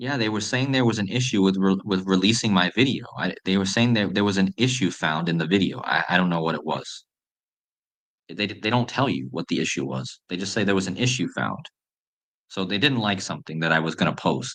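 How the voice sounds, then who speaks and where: With lively intonation and vocal fry, a man talks at a fairly quick pace in a fairly low pitch. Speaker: conspiracy decoding YouTuber. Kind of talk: live stream chat. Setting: home live stream at night. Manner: soft-spoken.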